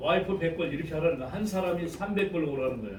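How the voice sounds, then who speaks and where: Loud and high-pitched, a man's voice rings with audible room echo. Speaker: network marketing presenter. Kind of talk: sales pitch.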